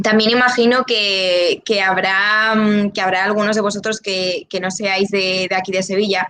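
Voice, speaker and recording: Over noticeable background noise, a woman talks at a fairly slow pace with hardly any pauses and a monotone, flat intonation. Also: medium pitch for a woman. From León, Spain. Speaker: journalism student. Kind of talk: open day talk. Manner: hesitant.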